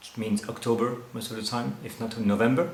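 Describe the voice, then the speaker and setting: A man speaks with a French accent. There is noticeable background noise and audible room echo. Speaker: winemaker. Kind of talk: interview. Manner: halting.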